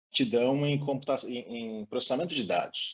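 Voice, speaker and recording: A man speaks at a moderate pace with a medium pitch. He has an ordinary speaking voice. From Brazil, interior of São Paulo state. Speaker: advertising professional and studio co-founder. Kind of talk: interview.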